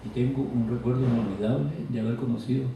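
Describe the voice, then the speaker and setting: A man speaks at medium pitch. There is audible room echo around his voice. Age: 80s+. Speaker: author and scholar. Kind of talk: lecture.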